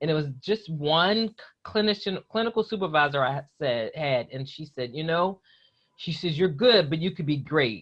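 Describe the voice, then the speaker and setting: A woman speaks with a West Virginia accent. Her voice is very deep and low. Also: moderate pace. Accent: faint West Virginia. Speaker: psychologist. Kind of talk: interview.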